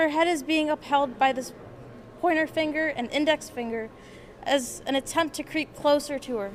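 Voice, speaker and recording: There is noticeable background noise behind a woman speaking at a moderate pace. Her pitch is high, with ordinary variation. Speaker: art student. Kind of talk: reading aloud. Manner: soft-spoken.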